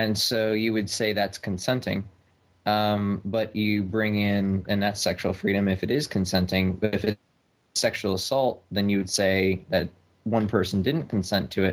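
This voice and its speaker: An ordinary speaking voice from a man, fairly low in pitch, at a moderate pace with fairly even intonation and very even loudness, on a very clean recording with a silent background. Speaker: caller. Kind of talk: casual chat.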